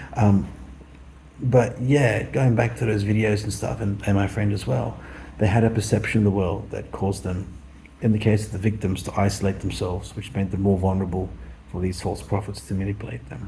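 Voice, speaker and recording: Mumbling at a fairly quick pace, a man with an Australian accent speaks at a fairly low pitch with audible room echo. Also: ordinary pitch variation. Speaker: vlogger. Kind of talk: casual monologue.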